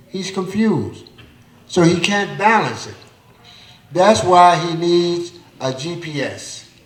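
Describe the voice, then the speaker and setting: A man's high voice at a very slow pace, with long, frequent pauses, big swings in loudness and ordinary pitch variation, plus noticeable background noise and audible room echo. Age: 60s. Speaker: community elder speaker. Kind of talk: panel discussion at live event. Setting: theater stage with audience.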